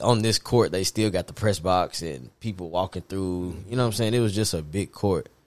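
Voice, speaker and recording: With an American accent, a man talks at a fairly quick pace in a fairly low pitch with ordinary pitch variation. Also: very clean recording, silent background. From Nashville, Tennessee. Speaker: photographer/journalist. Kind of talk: casual chat.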